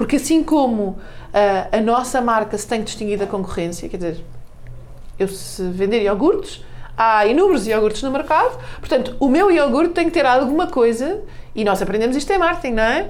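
A woman speaks at a moderate pace with a high pitch. Her voice has very wide pitch swings, and audible room echo surrounds it. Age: 40s. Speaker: marketing director and author. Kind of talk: radio interview.

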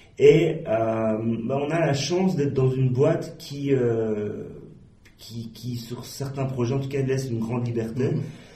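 Audible room echo surrounds a man speaking at a fairly slow pace, with a medium pitch and ordinary pitch variation. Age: 40s. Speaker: online magazine editor-in-chief. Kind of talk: interview. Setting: office. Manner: hesitant, many fillers.

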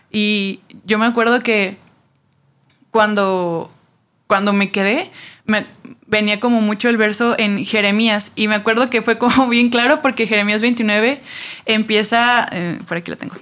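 Delivered at a fairly slow pace with long, frequent pauses, the speech keeps a fairly even intonation on a very clean recording with a silent background. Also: woman, fairly high pitch for a woman. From Mexico City. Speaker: church ministry worker. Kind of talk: casual chat.

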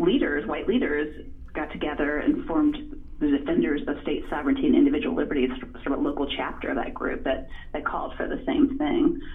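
Against noticeable background noise and audible room echo, a woman speaks with an American accent. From Virginia, US South (Farmville). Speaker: author and journalist. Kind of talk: interview. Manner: hesitant with many fillers.

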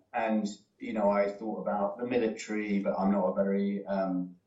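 Speaks with a British accent. The intonation stays fairly even. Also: man. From United Kingdom. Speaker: former diplomat. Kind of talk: career talk. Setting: video call from home.

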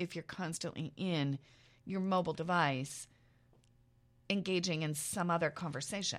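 A woman with an American accent speaks at a moderate pace in a fairly low pitch with ordinary pitch variation, on a very clean recording with a silent background. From Iowa, US Midwest. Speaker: professor and podcast co-host. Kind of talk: casual chat.

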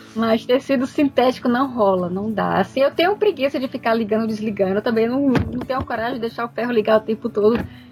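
Over noticeable background noise, a woman with a fairly high pitch and ordinary pitch variation speaks at a very fast pace with hardly any pauses. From Brazil, Fortaleza (Ceará). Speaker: sewing teacher and youtuber. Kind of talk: casual chat.

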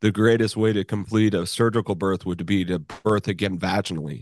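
A man with a plain, everyday voice, fairly low in pitch with ordinary variation, talks at a fairly quick pace, the sound dry and close with no echo over a quiet background. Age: 50s. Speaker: body worker and therapist. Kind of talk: interview.

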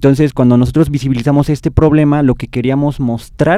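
A man's dark, mellow tone. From Mexico. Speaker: student filmmaker. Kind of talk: interview.

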